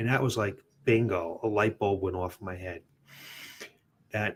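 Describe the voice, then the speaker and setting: It's a plain, everyday voice with an American accent. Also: man, very clean recording, silent background. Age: 60s. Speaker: fitness studio owner and podcast host. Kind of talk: personal story on a podcast.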